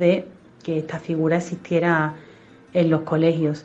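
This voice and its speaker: With an Andalusian accent, a woman talks at a moderate pace in a fairly low pitch and monotone, flat intonation, over noticeable background noise. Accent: Andalusian (Seville). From Spain, Seville. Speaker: mother of a child with diabetes. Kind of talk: testimony.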